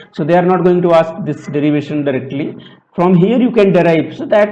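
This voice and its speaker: A man talks at a fairly quick pace with a high pitch and ordinary pitch variation. Noticeable background noise and audible room echo are present. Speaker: aerospace engineering lecturer. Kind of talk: lecture.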